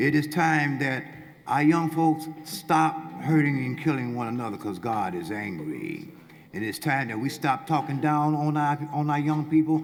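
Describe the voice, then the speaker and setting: The man's fairly high voice moves at a moderate pace with ordinary pitch variation, and noticeable background noise can be heard. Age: 60s. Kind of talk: public comment at community hearing. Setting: public hearing in a field house.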